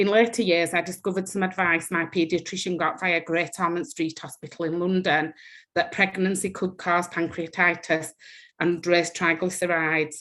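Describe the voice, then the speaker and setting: In a very clean recording with a silent background, a woman speaks with a strong Yorkshire accent at a fairly low pitch with fairly even intonation. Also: moderate pace. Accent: thick Yorkshire. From northern England, West Yorkshire. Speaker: patient with rare disease. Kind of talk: personal testimony.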